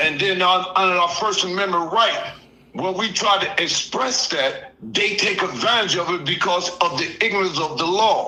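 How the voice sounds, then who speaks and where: A raised, projected voice rings out with audible room echo over noticeable background noise. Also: man, high pitch for a man, ordinary pitch variation, moderate pace. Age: 60s. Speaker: caller. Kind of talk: casual chat.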